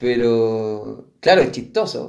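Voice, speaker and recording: This man speaks with a Chilean accent. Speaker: podcast co-host. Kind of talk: casual chat.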